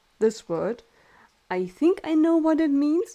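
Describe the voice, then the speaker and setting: A woman with a German accent speaks at a fairly slow pace. Her tone is dark and mellow, and her intonation is lively. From Germany. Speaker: streamer. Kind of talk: casual chat.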